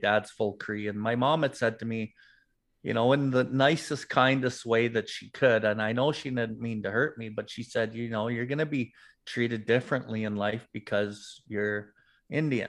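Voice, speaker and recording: A man with a Canadian accent, an ordinary speaking voice at medium pitch, moderate pace and ordinary pitch variation over a quiet background. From Calgary, Alberta, Canada. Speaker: recovered drug addict, recovery advocate. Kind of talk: interview, personal testimony.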